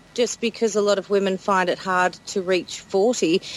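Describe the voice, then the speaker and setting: A woman with an Australian accent talks at a fairly slow pace. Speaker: podcast host. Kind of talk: casual chat.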